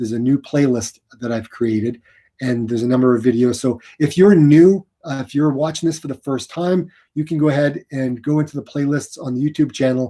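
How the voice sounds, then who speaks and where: At a fairly quick pace, a man speaks in a fairly high pitch with a dark, mellow tone. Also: ordinary pitch variation. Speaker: running youtuber. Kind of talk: livestream chat.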